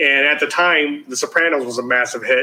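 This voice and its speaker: In a strong Chicago accent, a man speaks at a fairly slow pace with a medium pitch and a monotone, flat intonation. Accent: thick Chicago. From US Midwest, Chicago. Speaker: TV producer. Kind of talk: interview.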